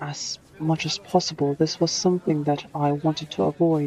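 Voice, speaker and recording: Noticeable background noise accompanies talk with fairly even intonation, delivered at a moderate pace. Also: woman. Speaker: author reading own book. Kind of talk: audiobook narration.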